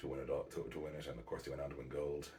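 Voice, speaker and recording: Someone soft-spoken talks in a room with audible echo. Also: man. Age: 40s. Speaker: basketball podcaster. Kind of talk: casual monologue. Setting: at home at night.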